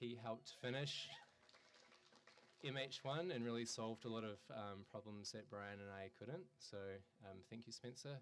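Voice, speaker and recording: A man speaks at a moderate pace and medium pitch with ordinary pitch variation, leaving long, frequent pauses. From New Zealand, rural. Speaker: artist. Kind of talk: artist talk. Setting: gallery talk with audience. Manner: hesitant, many fillers.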